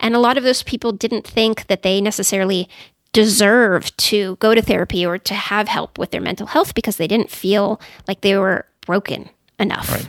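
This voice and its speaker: A woman's medium-pitched voice with an American accent, fairly even in intonation, at a moderate pace, in a dry, close sound with no echo. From California, Silicon Valley. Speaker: psychologist. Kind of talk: interview.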